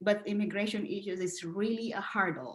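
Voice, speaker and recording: A woman talks at a moderate pace with a Filipino accent. Her pitch sits in the medium range. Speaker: educator. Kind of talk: interview. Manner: halting.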